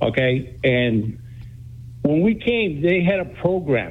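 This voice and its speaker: Lively intonation comes through amid audible room echo. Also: man. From Greece, raised in New Bedford. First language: Greek. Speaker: radio caller. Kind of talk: call-in comment.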